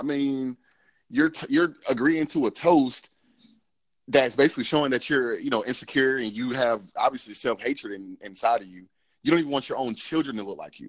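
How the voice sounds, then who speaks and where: Over a quiet background, a man talks at a fairly quick pace. His pitch is medium, with ordinary pitch variation. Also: big swings in loudness. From Georgia, US (Cobb County). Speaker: podcast host. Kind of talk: casual chat. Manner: hesitant, many fillers.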